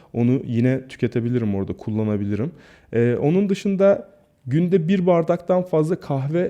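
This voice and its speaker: A fairly high-pitched man with a dark, mellow tone and lively intonation at a moderate pace, against a quiet background. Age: 40s. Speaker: YouTuber and health vlogger. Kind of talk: casual vlog monologue.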